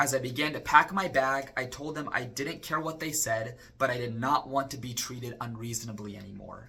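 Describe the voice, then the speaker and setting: An unremarkable speaking voice from a man with an American accent, medium pitch and ordinary pitch variation, a fairly quick pace, hardly any pauses and big swings in loudness. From Arizona (Chandler). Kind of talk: personal testimony.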